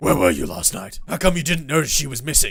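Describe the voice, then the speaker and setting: Putting on a character voice, a man rattles along at a very fast pace in a fairly high pitch with very wide pitch swings over light background noise. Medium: game stream. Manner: flippant, wisecracking.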